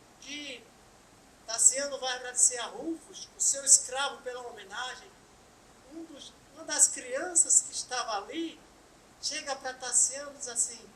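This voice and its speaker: Speaking at a fairly slow pace with long, frequent pauses, a woman with a high pitch and ordinary pitch variation has a bright, sharp tone and big swings in loudness. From Brazil, Pernambuco (Bom Jardim). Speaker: spiritist lecturer. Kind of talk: lecture.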